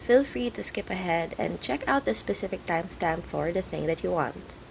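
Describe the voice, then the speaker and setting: A woman speaks at a fairly quick pace against noticeable background noise. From Philippines. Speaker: journaling YouTuber. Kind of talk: scripted voiceover narration.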